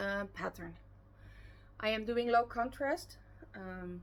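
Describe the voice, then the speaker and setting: Speaking at a fairly slow pace, a woman talks with a Dutch accent. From Netherlands. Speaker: knitting podcaster. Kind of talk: casual podcast chat. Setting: at home. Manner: loud; hesitant, many fillers.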